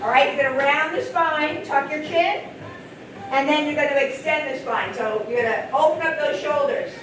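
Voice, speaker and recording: A loud, energetic woman's voice at high pitch, with ordinary pitch variation and a moderate pace, amid noticeable background noise and audible room echo. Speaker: physical therapist assistant and fitness instructor. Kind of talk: live group exercise instruction. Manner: energetic, encouraging.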